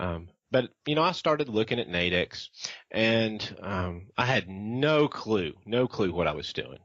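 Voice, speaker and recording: A man with a Southern US accent speaks fairly slowly at a medium pitch, his voice swinging very widely up and down. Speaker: trader. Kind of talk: interview. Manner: halting, many fillers.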